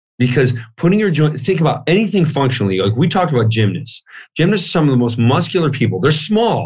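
A man's very fast, fairly high-pitched speech with vocal fry, very wide pitch swings and very even loudness. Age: 40s. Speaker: author and fitness researcher. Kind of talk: interview.

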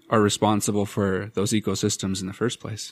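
A man with a normal speaking voice, fairly low pitch and fairly even intonation, in a very clean recording with a silent background and a dry, close sound with no echo. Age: 30s. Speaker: podcast co-host, graduate student. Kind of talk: casual conversational podcast.

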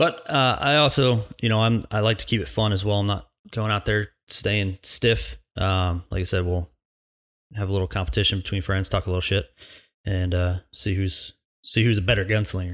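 A man's plain, everyday voice, fairly low in pitch, with ordinary pitch variation, a moderate pace, and a very clean recording over a silent background. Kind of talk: solo podcast intro and monologue. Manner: casual, joking, filler words.

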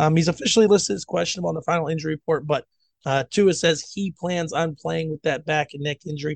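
His pitch varies in an ordinary way and sits fairly high. This man speaks at a very fast pace. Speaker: football podcast co-host. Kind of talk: casual sports banter. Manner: animated, joking.

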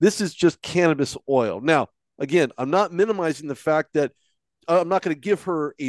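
Lively intonation and a fairly high pitch mark this man's speech at a moderate pace. The sound is dry and close with no echo, over a quiet background. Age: 40s. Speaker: sports podcast co-host. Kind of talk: casual chat. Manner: halting, with many fillers.

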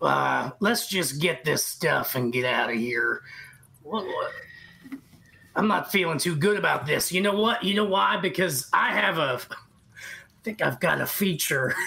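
A raspy put-on character voice at a middle pitch, moderate in pace, with long, frequent pauses. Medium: actual play. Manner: hesitant, stammering.

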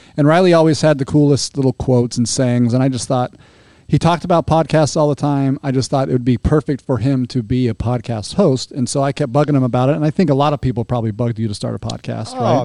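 A man's dark, mellow voice at medium pitch, very fast with hardly any pauses, with ordinary pitch variation.

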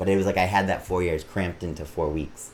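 Somewhat breathy, a man with an American accent speaks with fairly even intonation. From Massachusetts, Auburn. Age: 30s. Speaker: drag performer. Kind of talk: casual interview.

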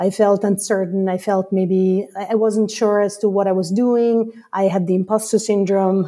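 A woman with an Italian accent speaks at a moderate pace and medium pitch in a flat monotone, with a dark, mellow tone and hardly any pauses. The recording is very clean, with a silent background. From Italy. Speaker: customer education leader. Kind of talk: casual interview chat.

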